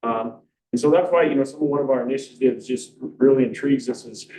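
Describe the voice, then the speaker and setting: A man speaks with a medium pitch. His tone is dark and mellow. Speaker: school administrator. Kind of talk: public comment. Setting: school board meeting. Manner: fast.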